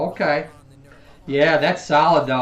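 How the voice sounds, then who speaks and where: Noticeable background noise surrounds a man speaking with fairly even intonation. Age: 40s. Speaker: physical therapist live streamer. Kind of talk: live stream chat and health explanation. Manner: loud; casual, halting with fillers.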